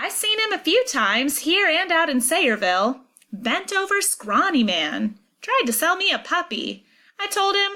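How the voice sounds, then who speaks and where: Putting on a character voice, a woman speaks at a moderate pace at an extremely high pitch with very wide pitch swings. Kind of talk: rural colloquial speech. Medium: read story. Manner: plain-spoken, chatty.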